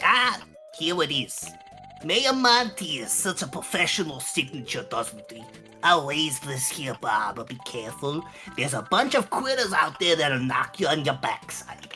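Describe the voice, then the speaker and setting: Someone uses a put-on character voice at a middle pitch and a moderate pace. Clear music plays in the background. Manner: pompous, smug.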